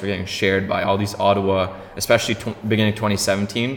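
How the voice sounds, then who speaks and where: With a Canadian accent, a man speaks at a fairly quick pace. His pitch is fairly low. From Ontario, Canada (small town). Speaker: podcast host. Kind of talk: casual interview chat. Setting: arts centre venue.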